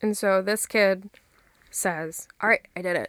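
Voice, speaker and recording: A woman speaks in a soft-spoken way. The sound is dry and close, with no echo. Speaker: podcast host. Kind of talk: casual chat.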